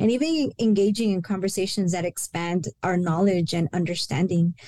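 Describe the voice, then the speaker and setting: A woman speaks in a dark, mellow tone at a moderate pace. The sound is dry and close with no echo. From El Paso, Texas. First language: Spanish. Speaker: university senior director. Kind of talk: interview on a podcast.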